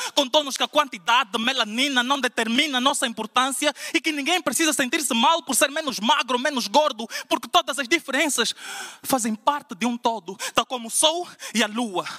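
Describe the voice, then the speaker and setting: A man talks at a fairly quick pace in a raised, projected voice. His pitch is extremely high. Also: ordinary pitch variation. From Portugal. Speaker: slam poet. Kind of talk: spoken word poetry performance, rhymed and rhythmic. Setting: stage with audience at a slam final. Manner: impassioned, declamatory, rhythmic with punchy rhymes; emphatic, building in intensity toward a rousing close. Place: church.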